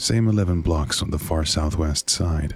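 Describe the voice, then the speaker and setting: A man with a very deep, low pitch talks in a calm tone at a fairly slow pace over noticeable background noise. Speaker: horror narrator. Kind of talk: horror story narration.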